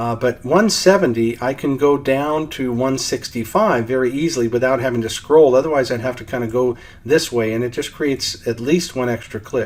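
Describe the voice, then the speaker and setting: A man at a moderate pace with hardly any pauses, amid noticeable background noise. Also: medium pitch for a man, ordinary pitch variation. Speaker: software trainer. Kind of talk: tutorial.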